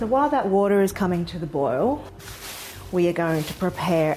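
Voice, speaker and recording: With an Australian accent, a woman with a fairly low voice talks at a fairly quick pace, her pitch swinging very widely over noticeable background noise. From Australia, Sydney. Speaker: food writer and cookbook author. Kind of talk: cooking tutorial. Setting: home kitchen. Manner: casual, friendly.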